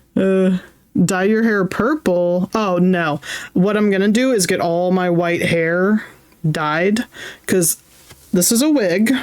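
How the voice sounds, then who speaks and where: A woman speaks very slowly, with long, frequent pauses. Her loudness stays very even, and her pitch varies in an ordinary way. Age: 30s. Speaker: streamer. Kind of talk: casual chat. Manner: animated.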